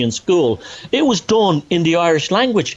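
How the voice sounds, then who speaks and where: Over noticeable background noise, a man is heard. His pitch swings very widely. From Ireland, north Dublin. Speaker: author and researcher. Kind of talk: podcast interview. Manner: animated, halting with restarts.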